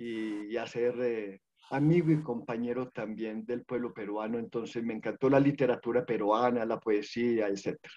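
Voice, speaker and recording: The man's tone is dark and mellow. He talks at a moderate pace with ordinary pitch variation. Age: 60s. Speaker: social worker. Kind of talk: online panel presentation.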